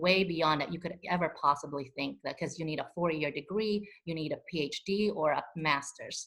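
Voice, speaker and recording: Her voice is fairly low in pitch, with ordinary pitch variation, as this woman talks at a fairly quick pace. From immigrant refugee to the US. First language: not English; English is fourth language. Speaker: community advocate, panelist. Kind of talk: panel discussion.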